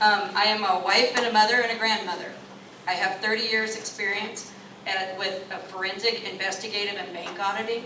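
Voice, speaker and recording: A woman at medium pitch with an American accent, fairly quick and monotone, flat in intonation, with audible room echo and noticeable background noise. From Washington State, rural Klickitat County. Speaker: political candidate. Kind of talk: campaign speech. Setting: public meeting with audience. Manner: loud; halting, many fillers.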